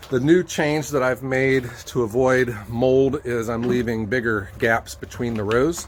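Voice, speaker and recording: Over noticeable background noise, a man with an American accent speaks at a fairly slow pace with hardly any pauses, his medium pitch showing ordinary pitch variation. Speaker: firewood business owner. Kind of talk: casual vlog narration. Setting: outdoors. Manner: casual, many fillers.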